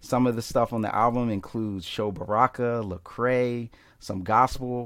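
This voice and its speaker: Speaking in an unremarkable speaking voice, a man with an American accent keeps a medium pitch and fairly even intonation. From Philadelphia, US Northeast. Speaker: pastor and filmmaker. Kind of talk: casual interview chat.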